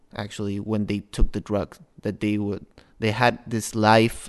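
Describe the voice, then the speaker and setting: A man with a Spanish accent speaks at a fairly slow pace and a fairly low pitch against a quiet background. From Peru. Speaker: master's student. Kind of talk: panel discussion. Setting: studio.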